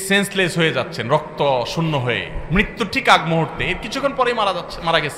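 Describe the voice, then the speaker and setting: Against noticeable background noise, a man speaks in a raised, projected voice with lively intonation. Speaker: Islamic preacher. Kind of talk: Islamic sermon (waz).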